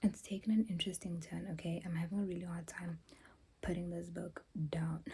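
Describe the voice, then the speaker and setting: A woman talks at a fairly quick pace in a monotone, flat intonation. Her fairly low voice has a dark, mellow tone and is somewhat breathy. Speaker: book vlogger. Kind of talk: casual vlog book review. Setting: bathroom at home.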